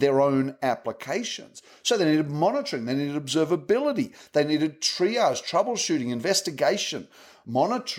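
A man with a plain, everyday voice, fairly high in pitch, with lively intonation and a fairly quick pace. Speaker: tech advocate at software company. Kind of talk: casual interview chat.

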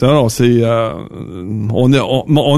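A man with a Quebec accent speaks at a very slow pace. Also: very clean recording, silent background. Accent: Québécois French. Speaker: trucking industry manager. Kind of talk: casual chat.

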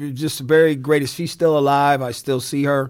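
A man with an American accent talks at a fairly quick pace and a fairly high pitch. His intonation is monotone and flat, and the recording is very clean with a silent background. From Indiana (South Bend) and Newark, New Jersey. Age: 60s. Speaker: lawyer and radio music host. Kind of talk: interview. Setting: studio.

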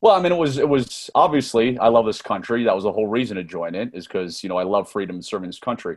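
A man with an American accent at a very fast pace, medium pitch, lively intonation and hardly any pauses. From US, Northern Virginia. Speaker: former intelligence officer and author. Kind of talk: interview.

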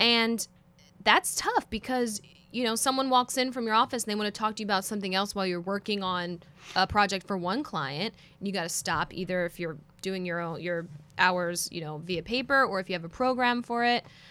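With a Philadelphia accent, a woman talks fairly quickly at medium pitch in a bright, sharp tone with ordinary pitch variation. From Philadelphia, US. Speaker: in-house counsel. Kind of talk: casual chat.

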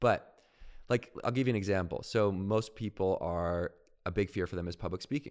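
A man with a normal speaking voice talks at a fairly low pitch and moderate pace. His pitch varies in an ordinary way, and the recording is very clean with a silent background. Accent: Canadian. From Canada, Victoria BC. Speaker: professional speaker. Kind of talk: interview.

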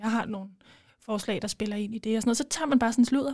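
A woman speaks in a fairly high pitch. Her tone is dark, mellow and somewhat breathy. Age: 20s. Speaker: law student and former parliamentary candidate. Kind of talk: casual interview.

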